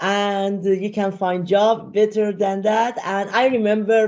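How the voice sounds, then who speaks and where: A woman with a Persian accent at a moderate pace, against a quiet background. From Iran. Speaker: data and AI consultant, speaker; speaker. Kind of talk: interview chat; interview answer. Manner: halting, many fillers. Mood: relaxed, friendly. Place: home room. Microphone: video call.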